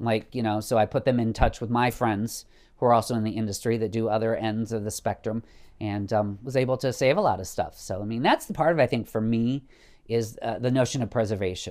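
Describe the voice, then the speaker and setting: On a very clean recording with a silent background, a normal speaking voice goes at a fairly quick pace with fairly even intonation. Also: man, medium pitch for a man. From rural northwestern Illinois. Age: 50s. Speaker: vintage clothing shop owner. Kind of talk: casual interview.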